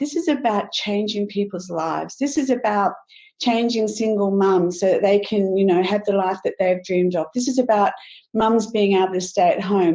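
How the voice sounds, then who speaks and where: With an Australian accent, a woman speaks at a moderate pace in a medium pitch with ordinary pitch variation. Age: 60s. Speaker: network marketing distributor. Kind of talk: sales pitch webinar. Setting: webinar.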